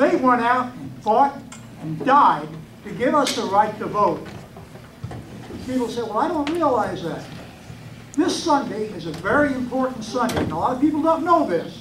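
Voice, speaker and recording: A man's extremely high-pitched voice at a moderate pace, with very wide pitch swings and long, frequent pauses, plus audible room echo and noticeable background noise. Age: 70s. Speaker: lay minister, audience member. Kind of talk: public comment at political meeting.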